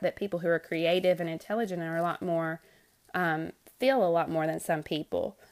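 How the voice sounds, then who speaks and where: A woman with an unremarkable speaking voice talks at a fairly quick pace. Her pitch is fairly low, and the recording is very clean with a silent background. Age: 20s. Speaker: podcast host, first grade teacher. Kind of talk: solo podcast monologue. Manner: casual, unedited with frequent fillers.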